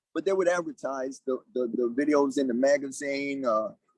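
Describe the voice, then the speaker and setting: Recorded with a dry, close sound with no echo, a man speaks at a moderate pace in an unremarkable speaking voice. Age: 60s. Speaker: martial arts grandmaster. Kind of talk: interview.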